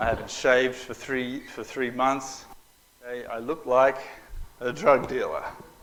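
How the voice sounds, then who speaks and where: A man's medium-pitched voice with an Australian accent, monotone and flat, at a fairly slow pace with long, frequent pauses and big swings in loudness. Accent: Australian twang. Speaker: minister and mission director. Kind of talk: talk to an audience. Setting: talk to a live audience. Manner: casual, humorous.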